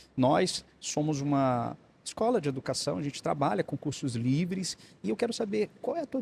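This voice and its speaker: A man talks fairly quickly, the sound dry and close with no echo. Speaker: podcast host. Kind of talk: interview. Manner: fast.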